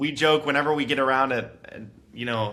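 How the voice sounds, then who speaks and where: With fairly even intonation, an unremarkable speaking voice talks fairly quickly. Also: man. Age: 20s. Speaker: real estate investor. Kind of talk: podcast interview. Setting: call.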